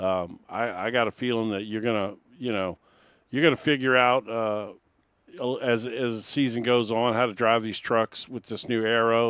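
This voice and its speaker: At a fairly quick pace, a man with an ordinary speaking voice talks in a medium pitch. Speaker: race broadcast host. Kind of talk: post-race interview.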